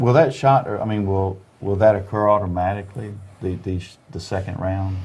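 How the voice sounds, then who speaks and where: Audible room echo surrounds a man's somewhat breathy, fairly low voice as he talks at a fairly quick pace with fairly even intonation and big swings in loudness. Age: 60s. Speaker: company finance executive and clinic member. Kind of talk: casual interview. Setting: live stream video.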